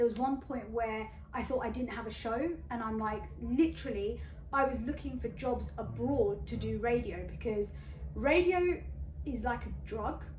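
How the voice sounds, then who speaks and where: A woman's animated voice at a moderate pace, with noticeable background noise and audible room echo. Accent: British. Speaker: radio presenter. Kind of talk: interview.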